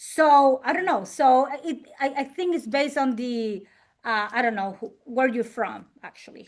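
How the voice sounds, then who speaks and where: A woman's high-pitched voice at a fairly slow pace, with a strong Puerto Rican accent and ordinary pitch variation. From Puerto Rico. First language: Spanish. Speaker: insurance and financial business owner. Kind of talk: interview. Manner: halting, many fillers.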